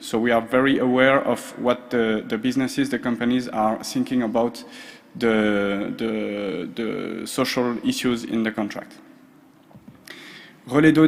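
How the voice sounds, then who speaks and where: Here a man talks with a French accent. He goes at a fairly slow pace. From France, Strasbourg. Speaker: social procurement expert. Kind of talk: conference presentation. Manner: hesitant, many fillers.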